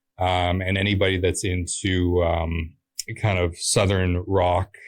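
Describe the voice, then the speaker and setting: A very deep, low, somewhat breathy male voice in a flat monotone, in a very clean recording with a silent background. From Pembroke, Ontario, Canada. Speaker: musician. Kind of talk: interview. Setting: studio. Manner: hesitant with many fillers.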